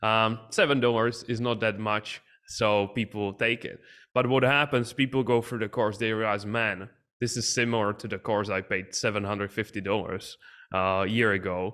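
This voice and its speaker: On a very clean recording with a silent background, a man with a non-native accent speaks at a moderate pace in a fairly low pitch, with a bright, sharp tone and fairly even intonation. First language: not English. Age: young. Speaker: business coach and entrepreneur. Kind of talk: podcast interview.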